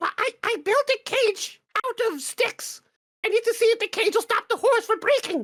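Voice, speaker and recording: A woman uses a put-on character voice, squeaky and extremely high in pitch. She keeps a moderate pace. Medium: actual play. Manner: stammering, halting.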